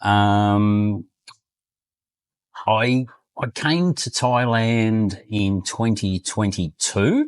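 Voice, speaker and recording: A man with an Australian accent talks at a very slow pace with long, frequent pauses and ordinary pitch variation over a quiet background. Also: fairly low pitch for a man. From Australia, Queensland. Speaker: retired expat. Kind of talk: interview. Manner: halting, many fillers.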